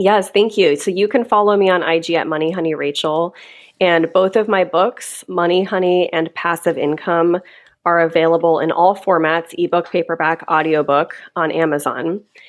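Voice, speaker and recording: Her voice is a normal speaking voice, fairly low in pitch for a woman. She keeps a moderate pace, very even loudness and fairly even intonation. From Kentucky, US. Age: 30s. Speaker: money educator and author. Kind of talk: casual interview.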